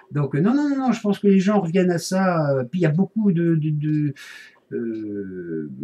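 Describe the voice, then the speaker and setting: Mumbling at a fairly slow pace with very wide pitch swings, amid noticeable background noise. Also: man, high pitch for a man. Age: 40s. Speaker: vlogger. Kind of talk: casual video blog. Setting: home office. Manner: mumbled, hesitant.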